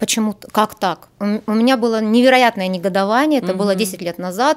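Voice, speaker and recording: In a very clean recording with a silent background, a woman talks fairly quickly in an ordinary speaking voice, her fairly high pitch moving with ordinary variation. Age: 40s. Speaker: astropsychologist. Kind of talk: interview. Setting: studio.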